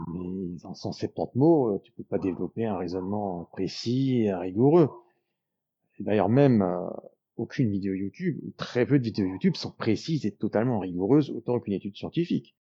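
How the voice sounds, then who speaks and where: A man with a fairly low pitch and a dark, mellow tone speaks with lively intonation and big swings in loudness. The sound is dry and close, with no echo. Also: moderate pace, quiet background. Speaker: YouTuber on enneagram psychology. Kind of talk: casual explanatory monologue. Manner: hesitant fillers.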